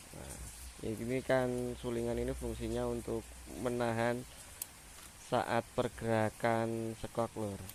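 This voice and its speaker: A man at a very slow pace with long, frequent pauses. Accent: Javanese. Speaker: motorcycle mechanic vlogger. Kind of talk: tutorial. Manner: casual, halting.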